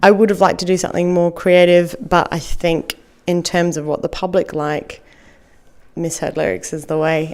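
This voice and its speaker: A woman with an Australian accent speaks at a moderate pace. Her voice is fairly low, with fairly even intonation. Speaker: comedian. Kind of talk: podcast interview answer. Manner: casual, hesitant.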